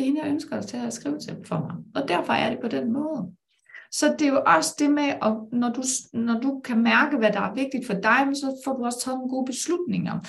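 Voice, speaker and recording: High-pitched woman's voice with lively intonation at a moderate pace, amid audible room echo. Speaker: life coach and business mentor. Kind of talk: live-streamed conversation.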